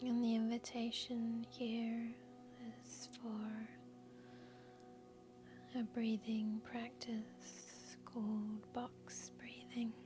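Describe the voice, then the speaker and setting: Over music in the background, a woman speaks at a very slow pace with long, frequent pauses. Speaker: yoga nidra guide. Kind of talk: guided yoga nidra meditation. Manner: soft-spoken, slow, calm.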